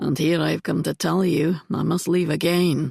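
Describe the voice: A put-on character voice, raspy and middle-pitched, at a moderate pace.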